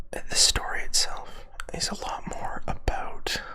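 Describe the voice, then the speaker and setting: Someone whispers over noticeable background noise. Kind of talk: ASMR whisper ramble. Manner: whispered; rambling, hesitant.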